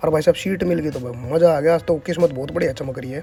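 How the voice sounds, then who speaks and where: Speech with a Haryana accent and ordinary pitch variation, music playing in the background. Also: man. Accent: Haryanvi. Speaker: vlogger. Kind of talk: casual comic travel vlog narration. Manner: humorous, chatty.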